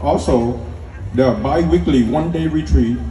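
A man's very deep, low pitch with very wide pitch swings, audible room echo and light background noise. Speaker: speaker. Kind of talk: formal speech. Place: tent. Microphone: pa.

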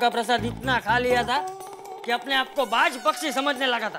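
A man speaks at an extremely high pitch and a moderate pace. Clear music plays in the background. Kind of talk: scripted comedic storytelling. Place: home room.

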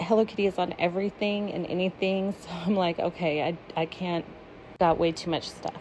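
Over light background noise, a woman with a dark, mellow tone talks at a fairly quick pace. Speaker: shopper vlogger. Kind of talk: casual vlog chat. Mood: cheerful, excited. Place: shop. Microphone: phone near.

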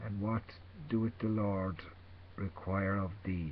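A man talks against light background noise, his pitch varying in an ordinary way. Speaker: religious vlogger. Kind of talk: informal sermon / scripture reading. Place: home room. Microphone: webcam.

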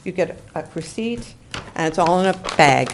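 A woman with a normal speaking voice talks at a fairly low pitch, varying it in an ordinary way. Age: 60s. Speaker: public commenter at council meeting. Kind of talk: public comment testimony.

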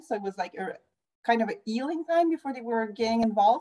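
A woman talks at a fairly quick pace in a dark, mellow tone. Her pitch variation is ordinary.

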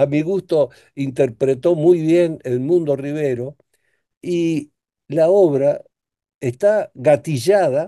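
Against a quiet background, a man with a dark, mellow tone talks at a very slow pace with long, frequent pauses and ordinary pitch variation. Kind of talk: interview answer. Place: home room. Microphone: video call.

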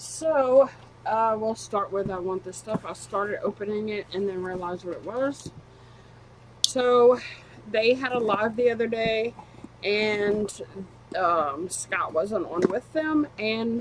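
A woman speaks at a very slow pace with long, frequent pauses and ordinary pitch variation. Light background noise can be heard. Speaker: collector vlogger. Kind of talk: casual vlog chat. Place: home room. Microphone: webcam.

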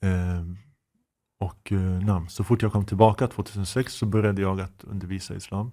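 At a moderate pace, a man talks in a fairly low, dark, mellow voice with monotone, flat intonation, recorded very cleanly against a silent background. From Sweden, Uppsala (Gottsunda). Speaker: imam and Islamic teacher. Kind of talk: casual interview.

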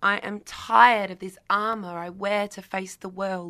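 This woman talks at a fairly slow pace in a bright, sharp tone. The recording is very clean, with a silent background. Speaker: spoken word performer. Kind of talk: spoken word poetry performance. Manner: dynamic, sassy.

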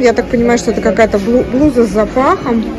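Clear music plays in the background as a woman speaks at a moderate pace. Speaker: shopping vlogger. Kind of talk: casual vlog commentary. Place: shop. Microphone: phone near.

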